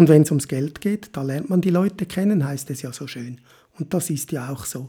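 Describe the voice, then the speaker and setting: At a moderate pace, the voice comes across somewhat breathy with a dark, mellow tone and ordinary pitch variation, in a very clean recording with a silent background. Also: man. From Switzerland. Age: 50s. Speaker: motivational podcaster. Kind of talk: motivational monologue.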